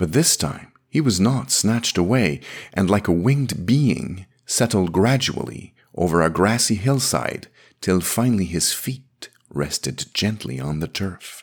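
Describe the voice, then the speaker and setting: Fairly low in pitch and marked by vocal fry, a man's voice moves through very wide pitch swings. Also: fairly slow pace, very clean recording, silent background. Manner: measured, dreamy and wistful, formal narration.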